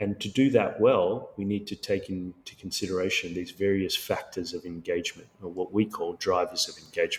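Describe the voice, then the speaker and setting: A man talks at a fairly quick pace with an Australian accent, barely pausing. His loudness swings widely. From Sri Lanka and Australia. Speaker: tech company founder and CEO. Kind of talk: podcast interview.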